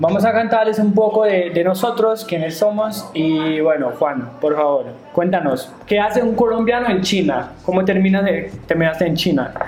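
The intonation is lively, the loudness very even, and the pace moderate. Audible room echo and noticeable background noise run through the clip. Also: man, high pitch for a man. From Germany. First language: German (speaking Spanish). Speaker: podcast co-host, crypto entrepreneur. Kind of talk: casual chat.

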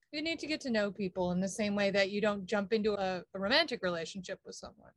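In a plain, everyday voice with an American accent, a woman speaks at a medium pitch with lively intonation. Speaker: podcast co-host. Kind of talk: casual chat. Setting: video call.

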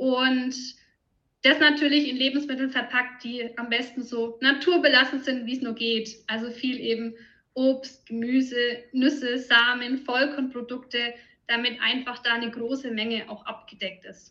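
In a slight Franconian accent, a woman speaks with a bright, sharp, high-pitched tone, fairly even intonation and big swings in loudness. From Franconia, Germany. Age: 30s. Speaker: nutrition consultant. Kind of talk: interview.

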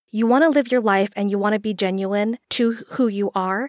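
An unremarkable speaking voice from a woman, medium-pitched and moderately paced, with ordinary pitch variation and a dry, close sound with no echo. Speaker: podcast co-host. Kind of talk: casual chat.

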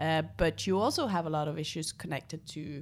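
A woman speaks in a very deep, low pitch with a Norwegian accent. Her pitch varies in an ordinary way. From northern Norway, Tromsø. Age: 30s. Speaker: environmental organization leader. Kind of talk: interview.

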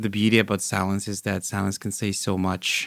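In a monotone, flat delivery, a man with a fairly low pitch is heard in a dry, close sound with no echo. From Vancouver, Canada; born in Nigeria. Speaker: guest describing perfect date. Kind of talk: casual interview. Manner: friendly, exuberant, relaxed.

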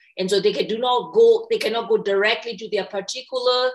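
A woman with a Burmese accent talks at a moderate pace, showing ordinary pitch variation. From Myanmar. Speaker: meditation teacher. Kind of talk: interview. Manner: halting.

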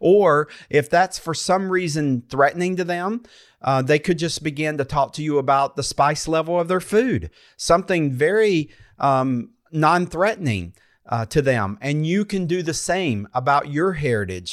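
On a very clean recording with a silent background, a man with a North Carolina accent speaks at a moderate pace, his fairly high pitch carrying lively intonation. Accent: Southern US (North Carolina). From North Carolina foothills, US South. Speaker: pastor and podcast host. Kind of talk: casual faith conversation.

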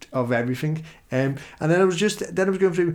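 A man with a Liverpool accent and lively intonation. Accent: Scouse. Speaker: podcast host. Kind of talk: casual chat.

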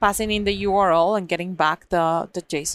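With an ordinary speaking voice, a woman talks at a fairly quick pace. Her pitch is fairly low and her intonation fairly even. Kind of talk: casual conference chat. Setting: live at conference.

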